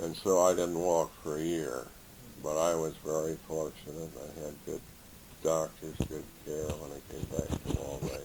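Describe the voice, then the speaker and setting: A man's very deep, low voice in an American accent, monotone and flat at a moderate pace, with noticeable background noise. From Indiana. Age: 70s. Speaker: retired teacher and coach. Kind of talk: oral history interview.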